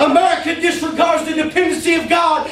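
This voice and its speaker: A man speaks at a fairly quick pace with an extremely high pitch and an animated tone, in a Southern US accent. Noticeable background noise runs under the recording. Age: 30s. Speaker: preacher. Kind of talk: sermon.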